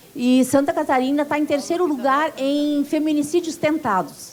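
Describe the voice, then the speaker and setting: A high-pitched woman's voice at a moderate pace, ordinary pitch variation, and noticeable background noise. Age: 60s. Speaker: union activist. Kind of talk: conference speech.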